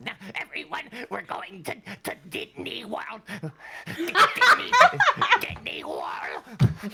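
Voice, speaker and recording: This put-on character voice moves at a fairly slow pace, with long, frequent pauses. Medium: actual play. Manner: stammering, repetitive.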